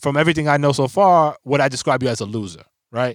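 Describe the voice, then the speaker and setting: Recorded very cleanly against a silent background with a dry, close sound and no echo, a man with a normal speaking voice talks at a fairly quick pace with lively intonation. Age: 40s. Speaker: podcast co-host. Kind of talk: casual chat.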